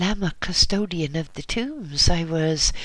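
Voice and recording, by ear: In a put-on character voice at middle pitch, the speaker sounds shaky and goes at a fairly slow pace.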